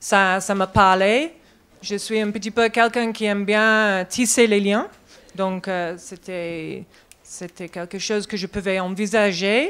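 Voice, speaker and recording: With a non-native accent, a woman speaks very slowly at a medium pitch with fairly even intonation. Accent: foreign accent in French. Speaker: herbalist, network coordinator. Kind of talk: conference talk. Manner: halting.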